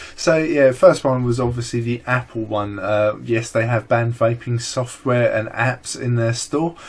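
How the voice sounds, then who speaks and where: Intonation stays fairly even as a man talks. His pace is moderate. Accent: strong British. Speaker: vaping vlogger. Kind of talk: casual chat.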